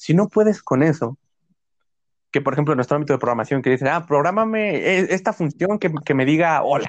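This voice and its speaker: Fairly high in pitch for a man, this is an unremarkable speaking voice with lively intonation and very even loudness at a fairly quick pace. The background is quiet. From Mexico. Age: 20s. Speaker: university student, podcast co-host. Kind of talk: casual chat.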